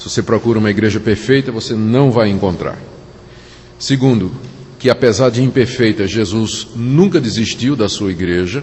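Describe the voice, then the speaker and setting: With noticeable background noise behind him, a man in a Pernambuco accent talks at a moderate pace, medium pitch and ordinary pitch variation. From Brazil, Recife (Pernambuco). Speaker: pastor. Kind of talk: sermon.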